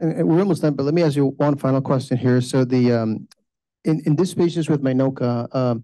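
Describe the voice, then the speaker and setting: A man with a dark, mellow tone speaks at a medium pitch and a fairly quick pace. His intonation is fairly even over a quiet background. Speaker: cardiologist. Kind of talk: lecture introduction and Q&A moderation. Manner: halting.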